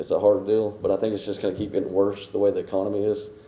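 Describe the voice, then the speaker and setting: Fairly quick speech from a man with an American accent, a fairly low pitch, and a dark, mellow tone, with audible room echo. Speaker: public commenter, property owner. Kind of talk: public comment at council meeting. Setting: city council meeting. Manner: halting.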